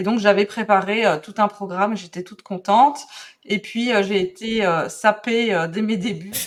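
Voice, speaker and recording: With a Belgian accent, a woman speaks at a moderate pace in a medium-pitched voice, her intonation fairly even but her loudness swinging widely. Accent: Belgian French, noticeable. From Belgium. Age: 40s. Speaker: calligraphy and drawing teacher. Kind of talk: podcast interview. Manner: hesitant, many fillers.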